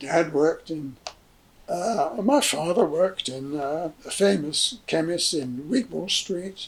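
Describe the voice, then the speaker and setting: The voice belongs to a man with a high pitch and lively intonation. He talks at a very slow pace. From southern England (Hayes, Middlesex). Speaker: interviewee recounting family history. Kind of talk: oral history interview. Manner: halting, many fillers.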